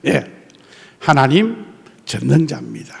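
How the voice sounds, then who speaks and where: Noticeable background noise surrounds a man with a fairly high voice. He speaks at a fairly slow pace in an animated tone. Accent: strong Gyeongsang. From South Korea, Gyeongsang coast (Tongyeong/Geoje). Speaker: pastor. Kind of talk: sermon.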